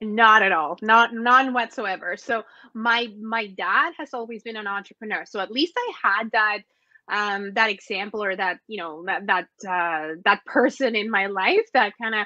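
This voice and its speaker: Against a quiet background, a woman with a Spanish accent speaks at a moderate pace in a bright, sharp tone with a fairly high pitch, ordinary pitch variation and big swings in loudness. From Mexico. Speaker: entrepreneur and business consultant. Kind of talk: interview.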